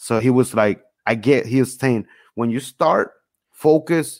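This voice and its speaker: A man's medium-pitched voice with ordinary pitch variation, a plain, everyday voice, very cleanly recorded against a silent background, dry and close with no echo. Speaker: podcast host. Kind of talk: casual interview chat.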